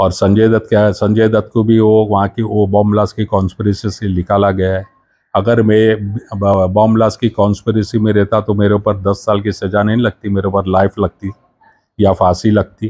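Against a quiet background, a man with a fairly low pitch and a dark, mellow tone speaks at a fairly slow pace in a monotone, flat intonation, his loudness very even and the sound dry with no echo. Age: 60s. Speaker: convicted former defendant, now retired; interviewee. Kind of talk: news interview; interview answer. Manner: halting. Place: home room. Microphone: handheld.

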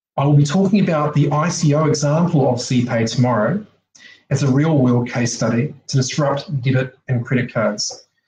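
A somewhat breathy male voice with ordinary pitch variation and very even loudness, amid light background noise and audible room echo. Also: fairly high pitch for a man, moderate pace. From Australia or New Zealand. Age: 40s. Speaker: technology advisor and presenter. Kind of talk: online conference presentation. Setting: video call. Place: home room. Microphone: webcam.

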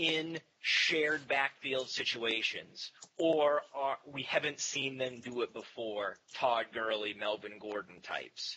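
A man speaks with an American accent. His intonation is lively and his pace fairly slow. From Maine, US. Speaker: fantasy football analyst, website owner; fantasy football analyst. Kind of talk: casual chat. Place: home room. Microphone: headset.

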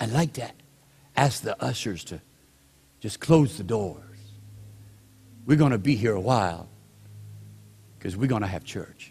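Using a put-on character voice, a man speaks soft and breathy at a medium pitch and a moderate pace, with long, frequent pauses. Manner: intimate, hushed, reverent.

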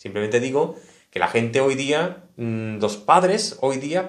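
The intonation is lively, in a Spanish accent. The background is quiet. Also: man. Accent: Spanish (Spain). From Spain. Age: 30s. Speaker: tech YouTuber. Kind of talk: casual vlog monologue. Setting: home studio. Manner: animated. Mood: earnest, reflective. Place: home room.

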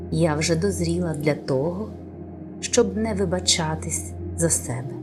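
A soft-spoken woman talks very slowly in a very deep, low voice with very wide pitch swings. Music plays in the background, and room echo is audible. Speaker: voice-over artist. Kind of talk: affirmation reading.

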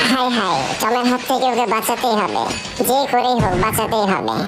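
A cartoonish character voice, female-sounding and fairly high in pitch, at a moderate pace over loud background noise. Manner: cheeky, taunting.

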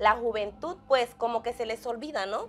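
A woman speaks at a fairly quick pace. Her fairly high voice shows ordinary pitch variation. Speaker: church TV interviewer. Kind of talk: religious interview. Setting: studio. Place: studio.

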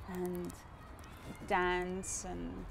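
Noticeable background noise sits behind a woman's voice, the sound dry with no echo. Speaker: interviewee. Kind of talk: interview answer, personal memory. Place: garden.

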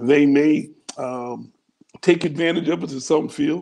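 With a warm tone and some vocal fry, a man speaks at a fairly high pitch. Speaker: bishop and church leader. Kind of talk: online church teaching broadcast. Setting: livestream video call. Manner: warm, pastoral. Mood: earnest, preaching tone. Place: home room. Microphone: earbuds.

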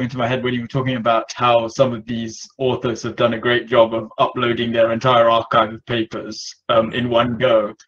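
A man speaks at a moderate pace with hardly any pauses. His loudness swings widely over a quiet background. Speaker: community member following cardiovascular research. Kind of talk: online community meeting. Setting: video call. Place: home room. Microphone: video call.

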